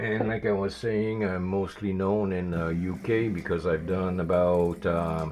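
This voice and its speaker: A strong Quebec accent at a fairly slow pace with hardly any pauses and fairly even intonation, over audible room echo and noticeable background noise. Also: man, very deep, low pitch for a man. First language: French. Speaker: miniature painter streamer. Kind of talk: casual live stream chat.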